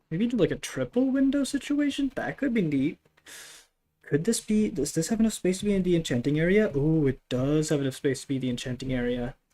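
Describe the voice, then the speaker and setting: This speaker talks at a fairly quick pace with a non-native accent. The tone is relaxed. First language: not English. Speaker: gaming streamer. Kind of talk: casual live stream commentary. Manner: relaxed, chill.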